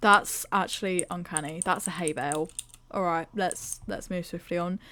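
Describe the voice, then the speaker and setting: A woman with a British accent talks at a moderate pace in a bright, sharp tone and a fairly low pitch. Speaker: gaming YouTuber. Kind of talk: casual vlog review. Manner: animated.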